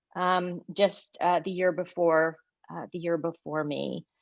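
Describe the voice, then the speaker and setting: Over a quiet background, a woman with a Southern US accent talks at a moderate pace. Her fairly low voice is monotone and flat. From US South, Arkansas. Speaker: law professor. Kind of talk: award acceptance speech. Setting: virtual event. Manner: halting, many fillers.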